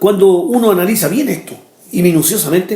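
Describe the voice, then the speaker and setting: A man's high-pitched voice with lively intonation, audible room echo and noticeable background noise. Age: 60s. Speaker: pastor. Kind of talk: sermon.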